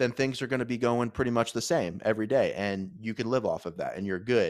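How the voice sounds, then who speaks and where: In a very clean recording with a silent background, a normal speaking voice is heard with ordinary pitch variation. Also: man. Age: 30s. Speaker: podcast host. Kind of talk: casual chat. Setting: home studio.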